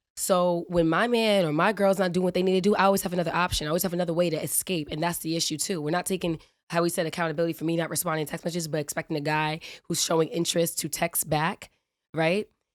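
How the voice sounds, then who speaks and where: A woman with a fairly low pitch talks at a very fast pace. Her tone is animated. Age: 20s. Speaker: podcast guest. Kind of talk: casual podcast conversation.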